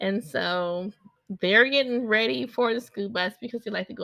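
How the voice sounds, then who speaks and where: A woman speaks loud at a fairly slow pace, with a bright, sharp tone and lively intonation. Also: dry, close sound with no echo. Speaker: podcast host, mother of seven. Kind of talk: casual monologue. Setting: home recording at desk. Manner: animated, switching from calm to loud.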